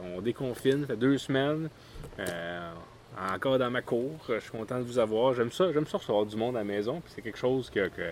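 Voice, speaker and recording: Lively intonation and a fairly quick pace mark this speaker with a Quebec accent. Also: man, medium pitch for a man. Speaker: podcast host. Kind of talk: casual chat. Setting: outdoors in a backyard.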